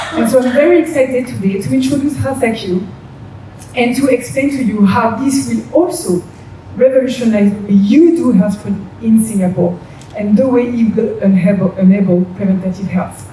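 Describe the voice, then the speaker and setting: Through audible room echo and noticeable background noise, a woman speaks with a French accent and lively intonation. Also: moderate pace. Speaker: business development head at a diagnostics company. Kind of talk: conference presentation.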